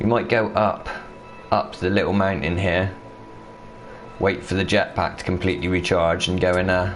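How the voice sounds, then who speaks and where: A moderate pace in a Bristolian accent, with long, frequent pauses, very even loudness, music in the background and audible room echo. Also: man, very deep, low pitch for a man. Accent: mild Bristolian. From southwest England, Bristol. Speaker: gaming streamer. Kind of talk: live gameplay commentary. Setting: live stream. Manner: animated.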